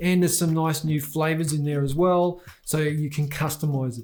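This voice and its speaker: Music plays in the background as a man speaks at a moderate pace in a fairly high voice. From Australia. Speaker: tech reviewer. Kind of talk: product review. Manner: casual, conversational.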